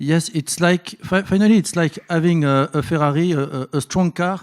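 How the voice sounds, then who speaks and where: In a very clean recording with a silent background, a man with a French accent speaks with ordinary pitch variation and a dry, close sound with no echo. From France. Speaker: bank innovation executive, panelist. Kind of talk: conference panel discussion. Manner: halting, many fillers.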